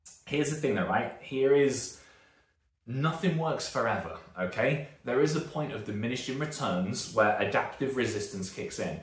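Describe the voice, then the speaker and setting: Speaking at a moderate pace with a British accent, a man with a medium pitch sounds somewhat breathy, his intonation lively against audible room echo. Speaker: strength and conditioning coach. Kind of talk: YouTube talk to camera. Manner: casual, rambling with fillers.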